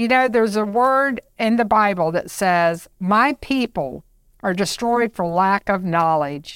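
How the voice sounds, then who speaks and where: A woman speaks fairly slowly at medium pitch in a normal speaking voice, with lively intonation and very even loudness. The sound is dry and close with no echo, on a very clean recording with a silent background. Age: 60s. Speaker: health podcast co-host. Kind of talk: casual chat.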